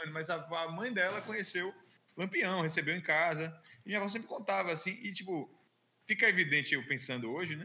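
A man's high-pitched voice at a fairly quick pace. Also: ordinary pitch variation. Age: 20s. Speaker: illustrator. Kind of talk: casual chat.

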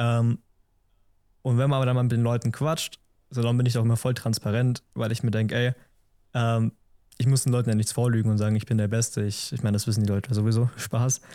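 Delivered very fast yet broken by long, frequent pauses, the speech has a dark, mellow tone, monotone, flat intonation and very even loudness, with a dry, close sound and no echo. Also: man, medium pitch for a man. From Allgäu, Bavaria (Memmingen). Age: 20s. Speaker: photographer. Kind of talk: casual interview chat.

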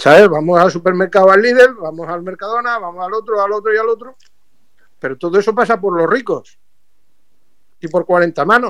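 Speaking at a fairly quick pace yet with long, frequent pauses, a man uses a high pitch and ordinary pitch variation. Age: 40s. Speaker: environmental activist and expert. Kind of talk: radio interview.

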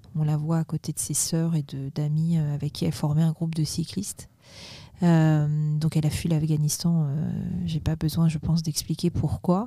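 On a very clean recording with a silent background, a woman with a very deep, low pitch speaks somewhat breathily in a monotone, flat intonation. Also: moderate pace. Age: 40s. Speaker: president of a cycling integration association. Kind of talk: interview. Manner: hesitant, many fillers.

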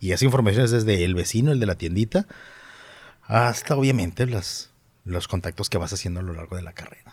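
Somewhat breathy and speaking at a fairly quick pace, a man with a Monterrey accent uses a fairly low pitch, ordinary pitch variation and big swings in loudness. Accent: Monterrey (regio). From Monterrey, Mexico. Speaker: reporter. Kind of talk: interview. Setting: studio.

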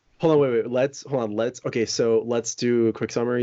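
A man's ordinary speaking voice at medium pitch, with fairly even intonation. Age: 20s. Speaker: podcast co-host. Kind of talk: casual chat.

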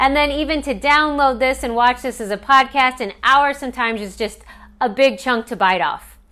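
A woman speaks in a raised, projected voice with a high pitch and a bright, sharp tone. Her pace is moderate and her pitch variation ordinary. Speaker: coach. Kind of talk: live coaching talk, casual monologue. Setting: live stream with viewer comments.

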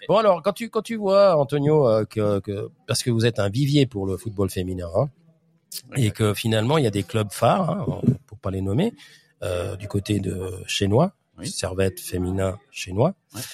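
Fairly low in pitch and somewhat breathy, a man speaks at a moderate pace with lively intonation. The sound is dry and close, with no echo. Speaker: football podcast host. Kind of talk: casual chat. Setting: clubhouse bar.

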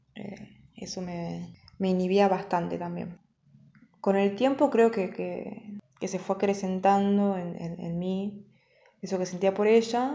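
Speaking very slowly, a woman uses a medium pitch while her loudness swings widely. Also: ordinary pitch variation. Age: 20s. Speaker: storyteller. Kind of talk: personal testimony. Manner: halting.

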